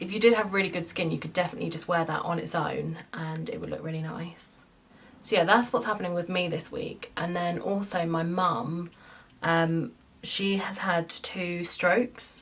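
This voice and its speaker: With an English accent, a woman talks at a moderate pace. Her voice sits fairly low and shows ordinary pitch variation. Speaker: beauty vlogger. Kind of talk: casual chat.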